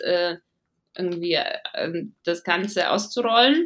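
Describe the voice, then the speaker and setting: A woman speaks with a slight non-native accent. Her pace is fairly slow, and her pitch varies in an ordinary way. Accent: barely noticeable foreign accent in German. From Latvia, Riga. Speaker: venture capital investor. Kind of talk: interview. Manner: hesitant, many fillers.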